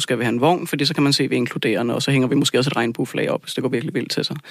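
A man speaks over noticeable background noise. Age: 30s. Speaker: lab technician and union rep. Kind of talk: radio studio discussion. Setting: radio studio.

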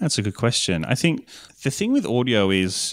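With an Australian accent, a man at a medium pitch makes very wide pitch swings on a very clean recording with a silent background. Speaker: podcast producer. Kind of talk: interview chat.

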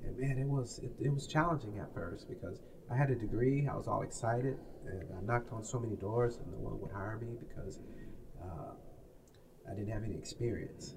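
An American accent at a fairly quick pace with ordinary pitch variation, over noticeable background noise and audible room echo. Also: man, medium pitch for a man. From US Midwest, Peoria, Illinois. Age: 60s. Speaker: author. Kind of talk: interview.

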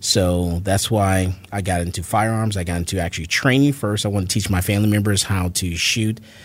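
This man talks at a fairly quick pace with an American accent, in a normal speaking voice that is fairly low in pitch, with ordinary pitch variation. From Florida, Fort Lauderdale. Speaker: gun store owner and firearms instructor. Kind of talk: interview.

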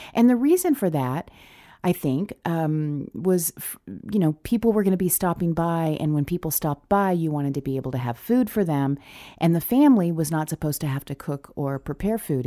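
In a very clean recording with a silent background, a woman speaks at a fairly quick pace with a dark, mellow tone and lively intonation. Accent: American. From northern Arkansas, Ozarks. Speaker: podcast host, former broadcaster, food TV host. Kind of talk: casual solo monologue; cooking tutorial. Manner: conversational with filler words.

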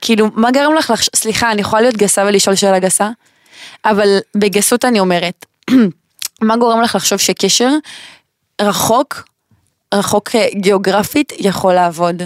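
The voice holds a moderate pace and very even loudness, with ordinary pitch variation and long, frequent pauses, in a dry, close sound with no echo. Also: woman, medium pitch for a woman. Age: 20s. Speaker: podcast host. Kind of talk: casual chat. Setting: studio.

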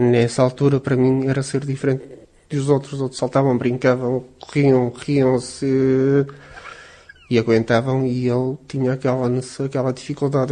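Over noticeable background noise, a man speaks at a medium pitch in a monotone, flat delivery. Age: 40s. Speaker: patient with cystic fibrosis, factory worker. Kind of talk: interview testimony.

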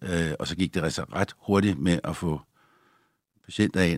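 A man speaks in a very deep, low voice with ordinary pitch variation, recorded dry and close with no echo, very clean against a silent background. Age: 60s. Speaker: doctor. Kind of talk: interview.

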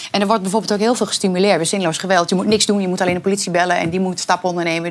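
The woman's medium-pitched voice, with fairly even intonation, comes through noticeable background noise. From Twente, eastern Netherlands. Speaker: talk show guest. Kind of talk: casual chat. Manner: halting.

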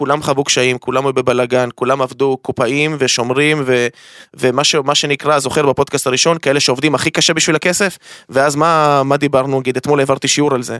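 Fairly high-pitched, a man speaks at a fairly quick pace. The recording is very clean and silent behind him, with a dry, close sound and no echo. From Israel (Ashdod). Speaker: crypto trading academy founder. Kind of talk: casual chat. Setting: studio. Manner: animated.

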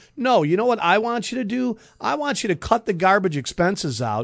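A man with an American accent at a fairly quick pace, very wide pitch swings, and a quiet background. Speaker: radio host. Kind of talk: casual radio talk show banter. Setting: radio studio.

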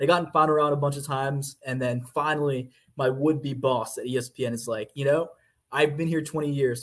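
Somewhat breathy, a man with an American accent speaks at a fairly high pitch with fairly even intonation. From US South, Georgia. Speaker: sports beat writer. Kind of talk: casual interview.

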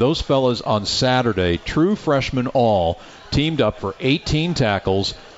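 A man speaks over noticeable background noise. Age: 60s. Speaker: radio play-by-play announcer and show host. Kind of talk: live radio sports show, interviewing. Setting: live from a restaurant studio.

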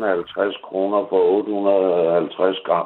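A man's voice at a fairly low pitch. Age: 60s. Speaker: caller. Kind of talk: phone-in call. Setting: phone call.

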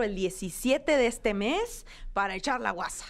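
A normal speaking voice carries lively intonation on a very clean recording with a silent background. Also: woman. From Hermosillo, Sonora, northern Mexico. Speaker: comedian. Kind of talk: casual chat.

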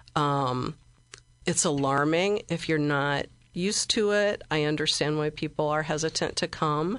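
A woman with a Midwestern American accent, very deep and low pitch, ordinary pitch variation, very even loudness and a fairly slow pace, over a quiet background. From Central Illinois, US Midwest. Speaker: library director. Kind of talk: interview.

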